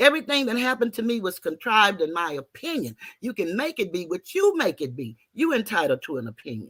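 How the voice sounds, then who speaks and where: Talking at a very fast pace with hardly any pauses, a woman at a medium pitch swings her pitch very widely and shows vocal fry, recorded with a dry, close sound and no echo. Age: 60s. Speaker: YouTube content creator guest. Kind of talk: personal account in a debate.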